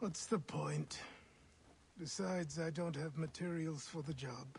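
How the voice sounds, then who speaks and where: Using a put-on character voice, a man talks raspily at a fairly high pitch and a fairly slow pace with ordinary pitch variation, over clear background noise. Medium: video game. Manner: earnest, plainspoken.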